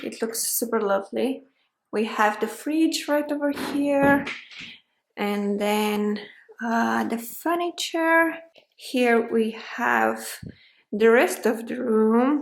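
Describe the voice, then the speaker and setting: Long, frequent pauses from a woman speaking at a very slow pace. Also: fairly high pitch for a woman, ordinary pitch variation. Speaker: lifestyle vlogger. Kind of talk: vlog narration. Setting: outdoors then inside a house viewing. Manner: loud.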